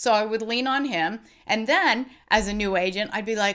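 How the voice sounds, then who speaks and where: A woman speaks in a plain, everyday voice, fairly high in pitch, with lively intonation at a moderate pace. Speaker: real estate agent, former attorney. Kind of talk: interview.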